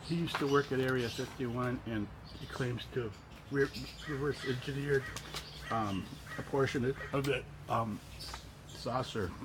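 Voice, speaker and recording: Amid noticeable background noise, a man speaks at a moderate pace and medium pitch with fairly even intonation. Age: 60s. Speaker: UFO enthusiast. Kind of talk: casual talk. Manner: halting, many fillers and repeats.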